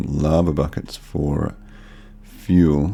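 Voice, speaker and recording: Over noticeable background noise, a man with a very deep, low pitch speaks in a relaxed tone. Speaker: gaming video creator. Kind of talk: let's play commentary. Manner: monotone; casual, relaxed.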